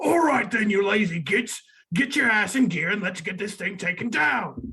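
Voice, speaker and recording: A put-on character voice comes through raspy and fairly high in pitch. The pace is moderate. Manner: bossy, gruff.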